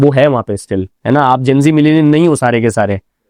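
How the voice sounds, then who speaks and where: A man speaks with lively intonation in a dry, close sound that has no echo. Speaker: radio professional, event anchor, storyteller. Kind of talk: interview answer. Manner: casual, conversational.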